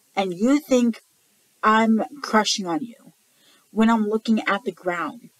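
At a fairly slow pace, a woman speaks with ordinary pitch variation in a dry sound with no echo and a quiet background. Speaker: vlogger. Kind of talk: casual vlog chat. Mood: annoyed, ranting. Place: home room. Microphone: webcam.

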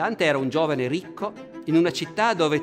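A man talks at a fairly quick pace while clear music plays behind him. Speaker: presenter. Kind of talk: lecture. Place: hall.

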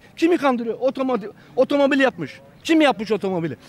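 A man's extremely high-pitched, animated voice at a very fast pace, dry with no echo. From Turkey. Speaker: conservative citizen, street interviewee; interviewee. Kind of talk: street interview. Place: street. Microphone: handheld.

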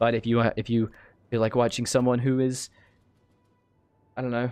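This man has a medium pitch with little pitch movement and talks at a moderate pace. His tone is clear and smooth, slightly mellow.

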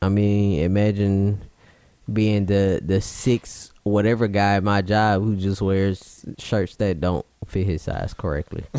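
Against a quiet background, a man with a fairly low pitch speaks at a very slow pace, his loudness very even. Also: fairly even intonation. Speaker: podcast co-host. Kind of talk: casual chat. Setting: late night recording.

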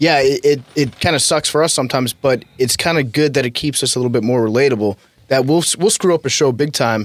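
A man speaks at a very fast pace with hardly any pauses, in a medium pitch with ordinary variation and very even loudness. The sound is dry with no echo, over a quiet background. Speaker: sports podcast host. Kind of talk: casual chat. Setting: studio. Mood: relaxed, self-deprecating. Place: studio. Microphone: studio mic.

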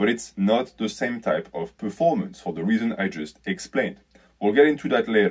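Against a quiet background, a man talks at a moderate pace in a medium pitch. His pitch swings very widely. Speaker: fitness YouTuber. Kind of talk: video commentary. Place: home room. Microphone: phone near.

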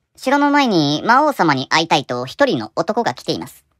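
Set against a silent background in a very clean recording, a cartoonish character voice at a middle pitch moves at a moderate pace with very wide pitch swings. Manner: polite, formal.

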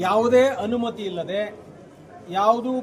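A high-pitched male voice with ordinary pitch variation over noticeable background noise. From Karnataka, Magadi area. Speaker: community organization leader and activist. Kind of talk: press interview.

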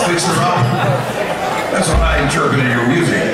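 Loud background noise and audible room echo surround a man's voice. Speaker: emcee. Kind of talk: stage introduction. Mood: joking, upbeat. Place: stage. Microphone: pa.

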